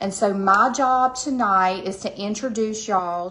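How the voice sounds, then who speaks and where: A woman speaks at a medium pitch with ordinary pitch variation. Her tone is bright and sharp, and room echo is audible. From US South, Georgia. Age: 40s. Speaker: skincare sales presenter. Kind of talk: sales pitch. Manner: casual, chatty.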